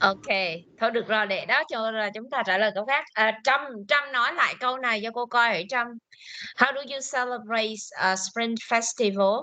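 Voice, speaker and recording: A woman's fairly high voice, bright and sharp in tone, at a moderate pace with ordinary pitch variation. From Vietnam. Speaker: English teacher. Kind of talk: language class, speaking practice.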